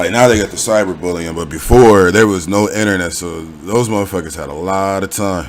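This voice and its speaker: Someone with an American accent talks at a fairly quick pace with hardly any pauses and ordinary pitch variation, amid noticeable background noise and audible room echo. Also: man, very deep, low pitch for a man. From Los Angeles, US. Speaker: YouTube interviewer. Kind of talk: casual interview.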